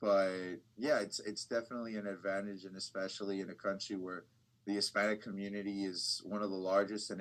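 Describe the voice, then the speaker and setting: A man with a Californian accent talks at a fairly quick pace in a fairly low pitch. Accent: Californian American English. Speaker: bilingual TV reporter. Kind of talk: casual interview.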